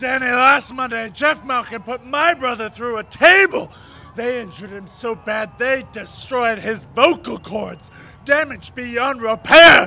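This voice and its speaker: A man is shouting in an extremely high pitch. His pace is fairly slow. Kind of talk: wrestling promo speech. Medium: comedy sketch. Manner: serious, dramatic, intense.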